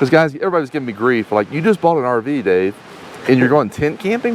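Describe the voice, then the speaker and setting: A man talks at a very fast pace with a fairly high pitch. His voice makes very wide pitch swings over noticeable background noise. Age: 50s. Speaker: RV travel vlogger. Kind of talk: casual chat.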